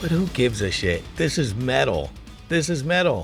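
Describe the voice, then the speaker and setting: Very wide pitch swings, vocal fry and an animated tone at a fairly slow pace, in a very clean recording with a silent background. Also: man. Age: 50s. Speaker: podcast host. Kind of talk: podcast monologue. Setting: audio-only podcast.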